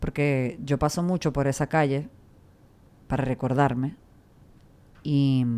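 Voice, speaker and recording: A woman's very deep, low voice, dark and mellow in tone, fairly slow, with long, frequent pauses and fairly even intonation. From Serbia, Belgrade. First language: Serbian (speaking Spanish). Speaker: radio and TV presenter. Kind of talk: interview conversation.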